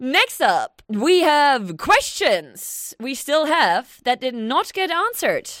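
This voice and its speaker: A woman's voice with very wide pitch swings on a very clean recording with a silent background. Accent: non-native. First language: not English. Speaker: podcast co-host. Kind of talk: casual chat.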